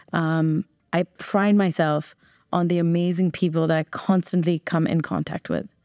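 A woman speaks in a fairly low, monotone voice with flat intonation and an American accent, at a moderate pace. The sound is dry and close, with no echo. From New Jersey, US. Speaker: business owner. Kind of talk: casual chat.

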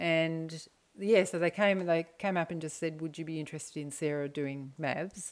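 With an Australian accent, a woman speaks at a moderate pace in a fairly low voice with fairly even intonation. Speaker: mother of podcast hosts. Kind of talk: casual interview.

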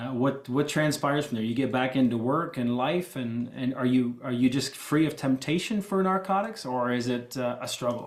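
A man with a plain, everyday voice, medium pitch, moderate pace, ordinary pitch variation and hardly any pauses. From Ontario, Canada. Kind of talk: casual interview.

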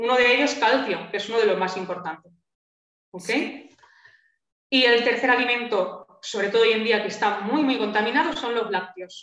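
At a moderate pace, a woman speaks in an unremarkable speaking voice, fairly high in pitch with ordinary pitch variation. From Spain. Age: 30s. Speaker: naturopath. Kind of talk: interview.

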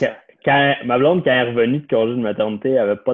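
Very fast talk from a man keeps a fairly even intonation. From Quebec, Lorraine north of Montreal. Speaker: financial planner. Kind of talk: casual chat.

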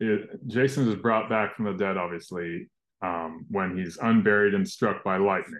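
An unremarkable speaking voice from a man with a fairly low pitch and ordinary pitch variation. He talks at a fairly slow pace against a quiet background. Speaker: interviewer, podcast host. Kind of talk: interview, casual chat.

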